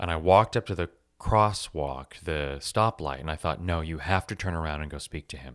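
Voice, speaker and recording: A man with an American accent and a very deep, low pitch, vocal fry, ordinary pitch variation and big swings in loudness, at a moderate pace, in a dry, close sound with no echo on a very clean recording with a silent background. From US West Coast, Los Angeles. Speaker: podcast host, teacher, writer, actor. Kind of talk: casual storytelling monologue. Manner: animated.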